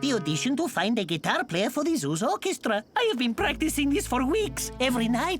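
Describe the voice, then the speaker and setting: Over clear music in the background, a cartoonish character voice talks at a fairly high pitch and a fairly quick pace. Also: hardly any pauses. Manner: theatrical, emotional.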